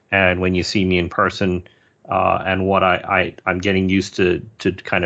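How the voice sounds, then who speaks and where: A man talks at a moderate pace with an American accent. His voice is very deep and low, with monotone, flat intonation. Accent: sounds American. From Singapore. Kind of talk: interview conversation. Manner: halting with repeated words.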